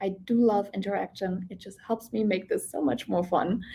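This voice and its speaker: A woman speaks at a fairly slow pace with a non-native accent. Her intonation is lively. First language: not English. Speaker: real estate coach. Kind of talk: online class.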